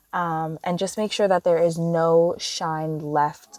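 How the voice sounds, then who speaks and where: Music plays in the background as a woman speaks at a fairly low pitch and a fairly slow pace. The sound is dry and close, with no echo. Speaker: nail technician. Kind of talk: tutorial voiceover. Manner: flat, low-energy.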